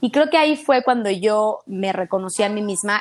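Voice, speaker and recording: A woman talks at a moderate pace. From Mexico City. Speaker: fitness instructor. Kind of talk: casual interview chat. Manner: animated.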